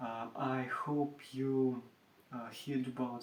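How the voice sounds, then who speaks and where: A man with a Russian accent speaks at a very slow pace. His medium-pitched voice stays monotone, with flat intonation. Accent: Russian accent, non-native English. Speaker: furniture maker. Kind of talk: tutorial. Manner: halting, many hesitations.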